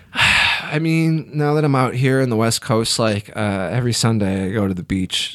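Over noticeable background noise, a man with a medium pitch speaks at a moderate pace with lively intonation and hardly any pauses. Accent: American. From Illinois, US Midwest. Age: 30s. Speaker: stand-up comedian. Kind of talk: casual chat.

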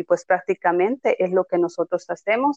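A woman speaks at a moderate pace at medium pitch, in a plain, everyday voice. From Yucatán, Mexico (Tekax). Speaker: special education teacher. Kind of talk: interview, explanatory.

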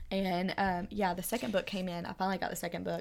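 On a very clean recording with a silent background, an unremarkable speaking voice goes fairly quickly and keeps its intonation fairly even. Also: woman. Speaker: podcast host. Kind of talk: casual chat. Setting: home recording.

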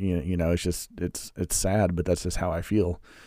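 A dark, mellow tone with an American accent, fairly even intonation and a fairly quick pace, on a very clean recording with a silent background. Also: man. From Missouri, US Midwest. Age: 30s. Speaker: religious podcaster. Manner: halting.

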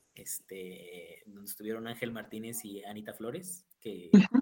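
A man at a fairly slow pace. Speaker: university student life director. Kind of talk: casual chat.

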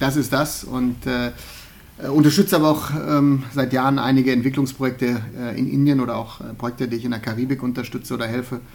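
A man talks at a fairly quick pace in an ordinary speaking voice, his pitch medium. His intonation stays fairly even. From Germany, Remscheid (Bergisches Land). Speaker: podcast host. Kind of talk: casual chat.

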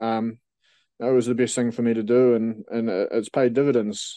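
With a New Zealand accent, a man speaks at medium pitch and a moderate pace, his tone dark and mellow and his intonation flat and monotone. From New Zealand, Dunedin. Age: 30s. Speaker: professional MMA fighter. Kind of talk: casual interview.

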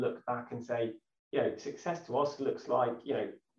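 A man speaks at a moderate pace and medium pitch, with ordinary pitch variation and a slightly mellow tone. Audible room echo surrounds his voice.

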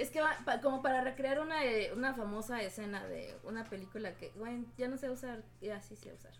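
Over noticeable background noise, a woman talks at a fairly quick pace in a high pitch with ordinary pitch variation. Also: hardly any pauses. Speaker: podcast co-host. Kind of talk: casual chat.

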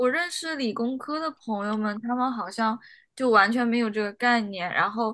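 A woman speaks in a fairly high pitch with a bright, sharp tone. Her pitch varies an ordinary amount. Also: moderate pace. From China. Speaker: doctoral student in clinical psychology. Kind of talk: casual discussion.

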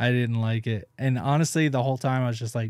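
A man with a Southern US accent speaks at medium pitch with fairly even intonation. The recording is very clean, with a silent background. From rural Tennessee, US South. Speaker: stand-up comedian. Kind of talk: casual chat.

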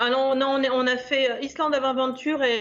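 Over music in the background, a woman speaks slowly-ish, at a fairly slow pace and a high pitch. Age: 50s. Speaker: listener sharing a trip report. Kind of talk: casual interview.

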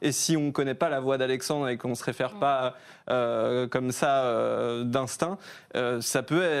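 A plain, everyday voice from a man, medium in pitch, with fairly even intonation at a fairly slow pace. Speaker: online video creator. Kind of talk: casual chat.

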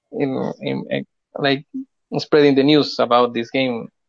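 Speaking at a fairly slow pace, a man talks in a Spanish accent. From Chile. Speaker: game developer. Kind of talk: interview. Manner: halting.

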